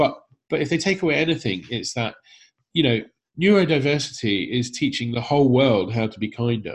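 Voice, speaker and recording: Animated and enthusiastic, a man speaks at a fairly quick pace and medium pitch, his somewhat breathy voice carrying lively intonation. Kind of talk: casual interview. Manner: animated, enthusiastic.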